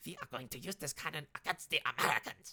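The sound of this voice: A put-on character voice comes in a German accent as part of the act. The pace is very fast.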